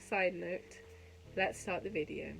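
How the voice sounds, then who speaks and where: A woman in a London accent at a moderate pace. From West London, England. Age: 20s. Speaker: YouTuber and podcast host, university student. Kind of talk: casual vlog chat. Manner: chatty, rambling with fillers.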